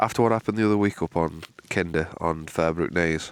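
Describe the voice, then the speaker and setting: Quiet and very deep, a man speaks with a Manchester accent and fairly even intonation. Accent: northern English (Mancunian). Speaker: outdoor vlogger. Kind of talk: casual vlog talk to camera. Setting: outdoors at a wild camp in the morning. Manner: speaking quietly.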